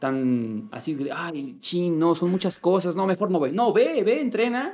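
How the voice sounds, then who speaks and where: A man with a Mexican accent, high-pitched, with lively intonation at a moderate pace. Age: 20s. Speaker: gaming content creator. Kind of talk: casual chat. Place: home room. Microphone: video call.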